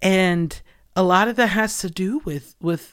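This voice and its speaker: A woman's fairly low voice on a very clean recording with a silent background. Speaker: podcast host and artist. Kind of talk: solo reflective monologue. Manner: animated, passionate.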